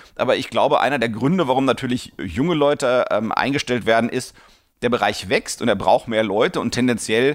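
Speech comes at a fairly quick pace with ordinary pitch variation, in a very clean recording with a silent background. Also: man. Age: 40s. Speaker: podcast host answering listener questions. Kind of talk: Q&A podcast monologue. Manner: many fillers and hesitations.

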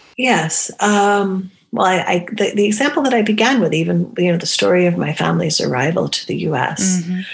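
Speaking at a fairly quick pace with hardly any pauses, a woman with a medium pitch uses lively intonation over noticeable background noise. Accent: American. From New Hampshire, US. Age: 50s. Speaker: academic and feminist. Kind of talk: casual interview conversation.

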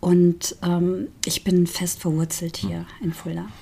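Against noticeable background noise, a woman speaks very slowly at a medium pitch. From Saarland, Saarbrücken. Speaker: singer. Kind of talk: casual interview chat.

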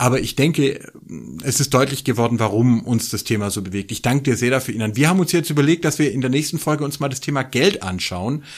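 Very fast and at a medium pitch, a man speaks with ordinary pitch variation on a very clean recording with a silent background. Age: 40s. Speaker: religion scholar and podcast co-host. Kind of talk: casual chat. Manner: animated.

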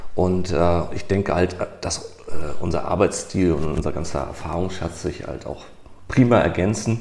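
Over noticeable background noise, a man talks at a moderate pace in a very deep, low pitch with ordinary pitch variation. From northern Germany, Hamburg. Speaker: IT project manager. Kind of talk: casual chat.

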